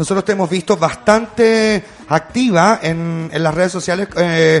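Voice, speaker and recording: A man with a Chilean accent speaks in a high pitch with fairly even intonation. Noticeable background noise is present. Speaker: podcast host. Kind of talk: casual chat. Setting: studio.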